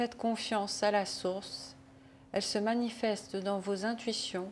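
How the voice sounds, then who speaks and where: A woman talks at a very slow pace and medium pitch, with fairly even intonation. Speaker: spiritual channeler. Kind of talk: reading aloud.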